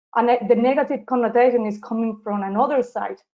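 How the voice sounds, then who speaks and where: Using a Spanish accent, a woman speaks at a moderate pace in a fairly high voice with fairly even intonation. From southern Spain, Seville. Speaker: social justice activist. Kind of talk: interview. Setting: live webinar. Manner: halting.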